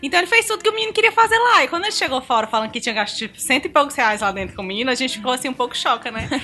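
Over noticeable background noise, a woman with a high pitch speaks in a raised, projected voice at a very fast pace, hardly pausing, her pitch swinging very widely. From Brazil, Ceará. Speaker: podcast guest. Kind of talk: casual chat.

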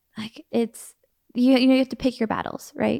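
A woman with a normal speaking voice, fairly high in pitch with fairly even intonation, comes across with a dry, close sound with no echo on a very clean recording with a silent background. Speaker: podcast co-host. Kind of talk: casual chat. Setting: at home on a couch. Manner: laughs often.

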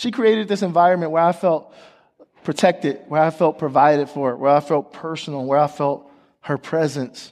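An animated man with an American accent speaks at a moderate pace in a fairly high voice with ordinary pitch variation. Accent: country twang. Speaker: guest preacher. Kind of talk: sermon. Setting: church stage with audience.

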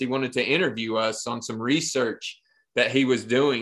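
At a moderate pace, a man with an Appalachian accent speaks at a medium pitch in a bright, sharp tone. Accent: Appalachian Southern US. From Eastern Kentucky, Appalachia. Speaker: podcast co-host. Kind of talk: casual chat.

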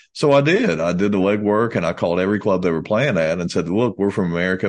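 With a Kentucky accent, a man talks at a very fast pace in a very deep, low pitch. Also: quiet background. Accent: US Southern (Kentucky). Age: 50s. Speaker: country musician. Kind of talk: casual chat.

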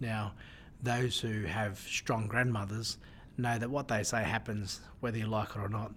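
A somewhat breathy man with an Australian accent, medium in pitch, in monotone, flat intonation. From Australia, Newcastle NSW area. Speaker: surgeon. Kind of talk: interview conversation. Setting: in person in Melbourne.

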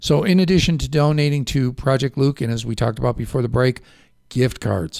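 This man has a dark, mellow tone, ordinary pitch variation, and a slight Chicago accent. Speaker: local radio talk show host. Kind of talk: casual radio interview. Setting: radio studio.

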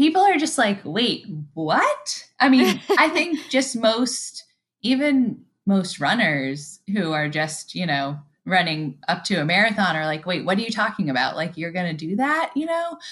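A woman of medium pitch talks at a fairly slow pace, her voice making very wide pitch swings. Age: 40s. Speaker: ultramarathon runner. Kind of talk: interview.

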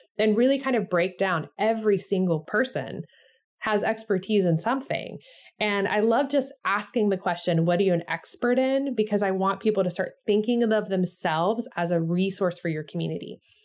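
In a normal speaking voice, a woman with a medium pitch talks at a moderate pace with ordinary pitch variation on a very clean recording with a silent background. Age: 40s. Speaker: church consultant and guide creator. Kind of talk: instructional tutorial with example interview.

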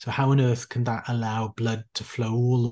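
A somewhat breathy man with a Welsh accent, monotone and flat, in dry, close sound with no echo. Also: quiet background. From South Wales. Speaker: intensive care doctor and author. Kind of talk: interview.

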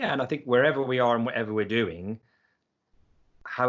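A man speaks with an English accent at medium pitch. His pace is fairly quick. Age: 50s. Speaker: personal development coach, business founder. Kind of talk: casual chat.

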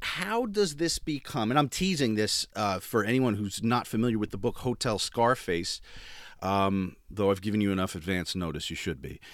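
On a very clean recording with a silent background, a man with an ordinary speaking voice talks at a moderate pace, fairly low in pitch and with lively intonation. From northern New Jersey. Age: 40s. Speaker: podcast host. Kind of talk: casual interview.

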